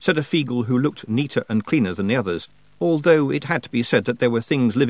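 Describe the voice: Someone reads aloud plainly.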